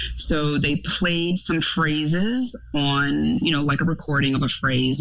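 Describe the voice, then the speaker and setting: Noticeable background noise runs behind a woman talking in an American accent. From Florida. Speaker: clinical psychology doctoral student. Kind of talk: casual chat.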